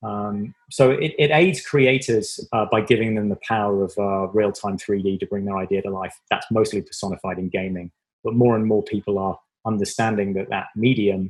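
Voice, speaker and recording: A man's fairly low voice in an English accent, at a moderate pace with fairly even intonation. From southwest England, Devon. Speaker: tech company marketing executive. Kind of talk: interview.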